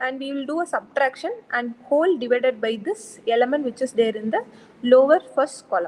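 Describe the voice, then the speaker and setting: A woman talks with lively intonation at a high pitch. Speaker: lecturer. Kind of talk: lecture. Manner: soft-spoken; halting.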